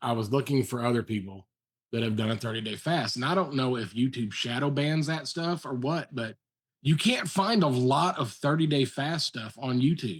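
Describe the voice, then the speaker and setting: A man speaks at a moderate pace with medium pitch and lively intonation, in a plain, everyday voice. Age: 50s. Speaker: fellow faster, video blogger. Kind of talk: casual chat.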